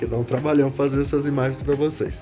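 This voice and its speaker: With clear music in the background, a man speaks at a very fast pace. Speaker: used manga seller. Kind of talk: casual sales vlog chat. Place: home room. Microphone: phone near.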